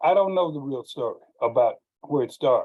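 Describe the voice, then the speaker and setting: A man talks in an American accent. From East Texas, Streetman. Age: 70s. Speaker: guest speaker, retired teacher. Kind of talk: presentation with slides.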